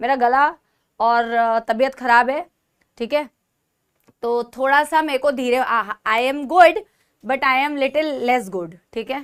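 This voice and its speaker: A woman speaks with a high pitch and ordinary pitch variation. Her pace is fairly slow, with long, frequent pauses. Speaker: online teacher. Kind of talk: online class lecture. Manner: speaking softly on purpose.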